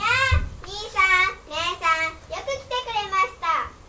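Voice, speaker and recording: In a put-on character voice, a woman goes squeaky and extremely high-pitched at a fairly slow pace, with very wide pitch swings and big swings in loudness. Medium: stage play. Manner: earnest, polite.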